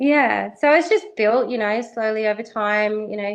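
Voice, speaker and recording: A woman with an Australian accent talks at a moderate pace. Her pitch is fairly high, and the background is quiet. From Western Australia, Perth. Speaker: racehorse industry worker. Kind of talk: interview. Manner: hesitant, many fillers.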